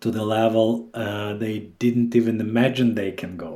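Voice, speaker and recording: Through audible room echo, a man of medium pitch with a dark, mellow tone speaks fairly slowly in a monotone, flat intonation. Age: 30s. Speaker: head of sales. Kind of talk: interview.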